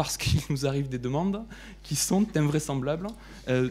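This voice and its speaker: A man with a Toulouse accent talks at a fairly quick pace in a fairly high, somewhat breathy voice. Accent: southern French accent (Toulouse). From southern France, Toulouse. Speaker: lawyer, law firm partner. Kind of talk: panel debate presentation. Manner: hesitant, repeats words.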